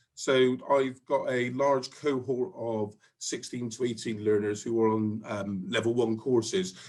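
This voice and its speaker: A man speaks with a Bristol accent. His pitch is medium and his pace fairly slow. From Bristol, England. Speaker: college department head. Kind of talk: interview.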